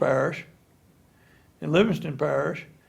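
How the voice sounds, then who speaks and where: A man at a moderate pace, with audible room echo. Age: 70s. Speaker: river dredging advocate. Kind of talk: casual chat. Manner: halting, frequent fillers.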